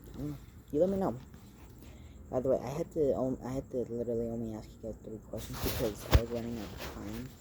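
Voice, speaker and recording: This man talks at a very fast pace with lively intonation and big swings in loudness. His pitch sits in the medium range. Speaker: vlogger. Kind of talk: casual monologue to camera. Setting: outdoors at night. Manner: halting, filler-heavy; speaking fairly loud.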